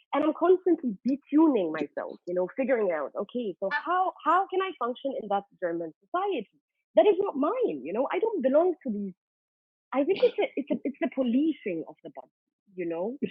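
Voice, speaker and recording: The voice moves at a fairly quick pace. It shows very wide pitch swings and big swings in loudness. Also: woman, high pitch for a woman. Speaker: music journalist and curator. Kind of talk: panel discussion. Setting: video call.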